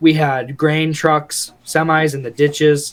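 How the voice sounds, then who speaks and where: In a flat monotone, a man with a fairly high voice speaks at a very slow pace. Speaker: hunting podcast co-host. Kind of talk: casual chat.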